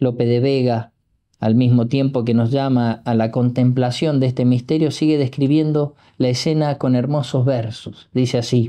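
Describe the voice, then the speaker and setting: This man talks at a moderate pace in a monotone, with flat intonation. His tone is dark and mellow, and the background is quiet. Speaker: priest. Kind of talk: religious meditation reading with poetry. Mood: solemn, devotional. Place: home room.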